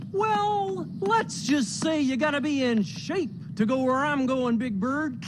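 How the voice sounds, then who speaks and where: A cartoonish character voice with a fairly high pitch moves at a fairly slow pace over loud background noise. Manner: chuckling, playful.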